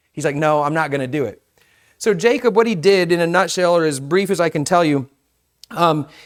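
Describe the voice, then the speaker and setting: In a very clean recording with a silent background, a man with a high voice talks at a fairly quick pace. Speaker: pastor. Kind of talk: sermon. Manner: casual, conversational.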